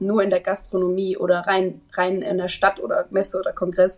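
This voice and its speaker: In an ordinary speaking voice, someone speaks at a fairly quick pace with fairly even intonation. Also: woman. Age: 20s. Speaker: trainee event manager. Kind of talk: interview.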